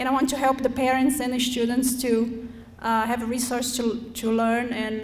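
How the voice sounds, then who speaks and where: With a Brazilian accent, a woman speaks high and flat, in a monotone, at a moderate pace. Room echo is audible. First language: Portuguese. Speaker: school board candidate, parent. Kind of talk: candidate forum speech. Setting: school forum with student audience.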